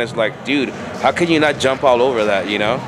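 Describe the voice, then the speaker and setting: Against clear music in the background, a man talks at a very fast pace. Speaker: interviewee. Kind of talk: interview answer. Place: home room. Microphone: handheld.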